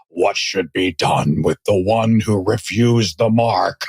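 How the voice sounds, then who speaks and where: Delivered fairly slowly, the speech is a put-on character voice. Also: man, fairly low pitch for a man. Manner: cheesy, menacing, theatrical.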